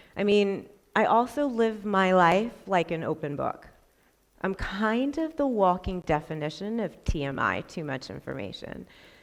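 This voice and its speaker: Loud and animated, a woman speaks at a fairly slow pace with very wide pitch swings in a very clean recording with a silent background. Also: medium pitch for a woman. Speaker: school counselor. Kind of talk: conference talk. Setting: stage with audience.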